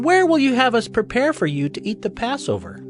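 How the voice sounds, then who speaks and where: Using a put-on character voice pitched high, a man speaks at a fairly quick pace. Clear music plays in the background. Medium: audio drama. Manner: respectful.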